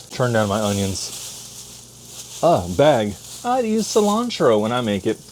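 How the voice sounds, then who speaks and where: A man's medium-pitched voice with lively intonation over noticeable background noise. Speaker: home cooking vlogger. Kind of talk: casual cooking vlog. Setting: home kitchen. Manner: animated; fast.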